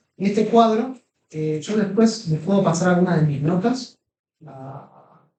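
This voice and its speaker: In a room with audible echo, a high-pitched man speaks fairly slowly with a dark, mellow tone, lively intonation and big swings in loudness. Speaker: Greek language teacher. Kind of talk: lecture. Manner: halting.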